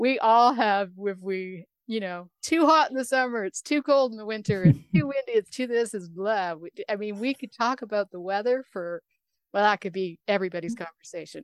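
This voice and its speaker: With a normal speaking voice, a woman talks at a fairly quick pace and fairly high pitch, her intonation lively and her loudness swinging widely, in a dry, close sound with no echo. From Canada. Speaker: radio host. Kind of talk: interview conversation.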